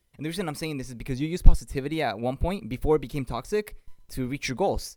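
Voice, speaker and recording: A man's fairly high-pitched voice over background music. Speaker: podcast co-host. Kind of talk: casual chat. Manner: fast talker.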